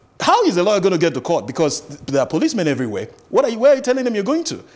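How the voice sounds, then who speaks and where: A man speaks with a Nigerian accent. His pitch swings very widely. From Nigeria, Akwa Ibom State. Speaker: lawyer. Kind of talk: studio interview. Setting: studio. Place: studio. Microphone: lapel.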